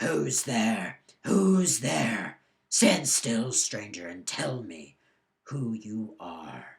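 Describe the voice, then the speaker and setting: Growling in a put-on character voice, a man speaks at medium pitch and a very slow pace. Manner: menacing, demanding.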